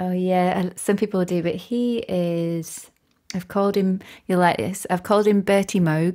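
Recorded very cleanly against a silent background, a woman with a North Yorkshire accent speaks at a medium pitch in a dark, mellow tone with fairly even intonation. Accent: broad northern Yorkshire. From Yorkshire (Barnsley), born Northern Ireland. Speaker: composer and musician. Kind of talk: casual interview chat.

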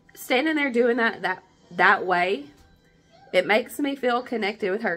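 Faint music plays behind a woman who talks at a fairly slow pace in a warm tone with ordinary pitch variation. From southern Appalachia. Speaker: home cook. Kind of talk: cooking tutorial talk to camera. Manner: warm, friendly. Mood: warm, nostalgic. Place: kitchen. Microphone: phone near.

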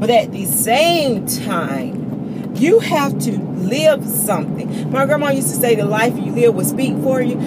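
A woman speaks at a fairly slow pace. Loud background noise fills the recording. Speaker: vlogger. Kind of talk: casual vlog chat. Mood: animated storytelling. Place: car. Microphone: phone near.

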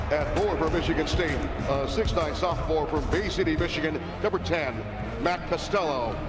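Heard through loud background noise, a male voice talks at a moderate pace. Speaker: PA announcer. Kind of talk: arena PA announcement reading lineups and anthem intro. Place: stadium.

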